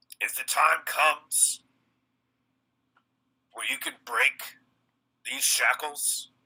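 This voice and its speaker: A raspy, put-on character voice at a very slow pace with long, frequent pauses. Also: man. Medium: actual play. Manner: low, steady, threatening.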